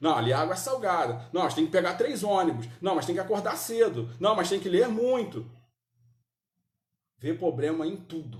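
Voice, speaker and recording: With long, frequent pauses at a moderate pace, a man speaks in a high pitch and an animated tone, his pitch swinging very widely amid audible room echo. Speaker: Sunday school Bible teacher. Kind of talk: Bible class teaching. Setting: church, live-streamed. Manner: animated, rhetorical questions.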